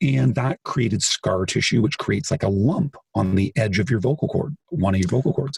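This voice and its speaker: In a dry, close sound with no echo, a man at medium pitch talks at a moderate pace with hardly any pauses, somewhat breathy, his intonation lively. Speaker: author and singer. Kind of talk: interview conversation.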